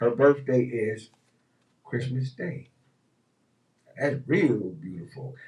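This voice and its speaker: A man speaks at a fairly slow pace, his tone dark and mellow. His voice is somewhat breathy, with ordinary pitch variation. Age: 60s. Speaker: radio host. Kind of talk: casual chat. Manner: animated.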